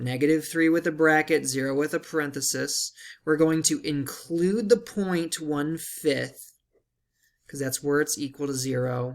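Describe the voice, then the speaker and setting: In a very clean recording with a silent background, a man talks at a fairly slow pace in an ordinary speaking voice, his pitch fairly high and his pitch variation ordinary. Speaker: math teacher. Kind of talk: tutorial.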